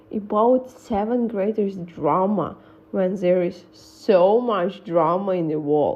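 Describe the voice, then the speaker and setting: A non-native accent comes through in very slow speech with lively intonation. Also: woman. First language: not English. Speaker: gossip vlogger. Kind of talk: casual storytelling monologue. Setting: voice-over on a slide presentation, face not shown.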